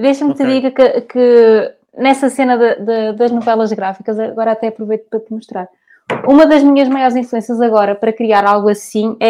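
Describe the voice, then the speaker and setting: A woman with a dark, mellow tone talks at a moderate pace, keeping her intonation fairly even. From Portugal, Porto. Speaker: cartoonist. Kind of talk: interview.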